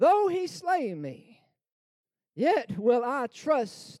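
Speaking at a very slow pace, a man with a dark, mellow tone makes very wide pitch swings. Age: 30s. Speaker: pastor. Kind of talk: sermon. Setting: church.

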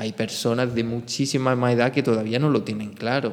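A man talks at a medium pitch. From Spain. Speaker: podcast host. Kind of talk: solo monologue podcast.

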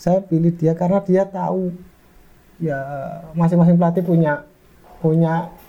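The speech moves at a moderate pace with fairly even intonation. Long pauses come often. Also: man. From Malang, East Java, Indonesia. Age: 30s. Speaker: footballer. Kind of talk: casual interview.

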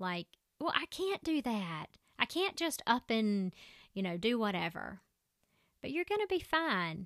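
A woman with a strong Southern US accent speaks at a fairly slow pace with long, frequent pauses, her fairly high pitch making very wide swings, in a dry, close sound with no echo on a very clean recording with a silent background. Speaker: podcast host and physician assistant. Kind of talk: solo motivational podcast monologue. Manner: conversational.

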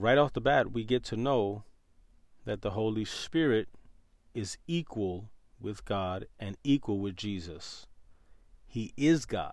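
The speaker has an American accent and ordinary pitch variation. The pace is very slow, with long, frequent pauses. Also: man, fairly low pitch for a man. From New York City. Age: 30s. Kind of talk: podcast monologue with Bible teaching.

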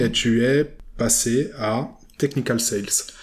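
A man at a very slow pace. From Switzerland, Vevey (Romandy). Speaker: podcast host. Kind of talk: interview. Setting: borrowed office space in Vevey.

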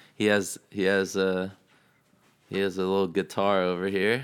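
A man with an American accent and a fairly low pitch talks at a moderate pace. His intonation is monotone and flat, on a very clean recording with a silent background. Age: 20s. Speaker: podcast host. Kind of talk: casual chat; guest introduction.

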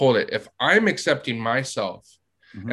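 The recording is very clean, with a silent background. A man talks at a moderate pace in a normal speaking voice at medium pitch. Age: 30s. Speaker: therapist podcast host. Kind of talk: casual podcast conversation.

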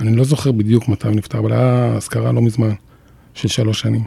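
Speaking very fast, a man keeps his loudness very even. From Jerusalem, Israel. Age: 50s. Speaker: former radio and TV broadcaster. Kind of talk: personal testimony in interview.

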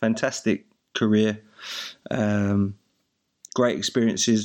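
A man speaks very slowly in an Essex accent. His fairly low voice stays monotone and flat. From Essex, England. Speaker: podcast host, goalkeeping coach. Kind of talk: casual chat. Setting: video call.

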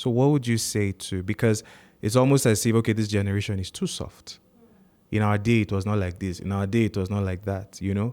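Over a silent background in a very clean recording, a man speaks fairly quickly in a fairly low, dark, mellow voice with fairly even intonation. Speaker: podcast host. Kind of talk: interview.

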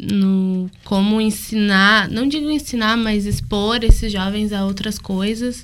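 A woman speaks very slowly in a fairly high pitch. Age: young. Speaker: university student. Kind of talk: casual chat.

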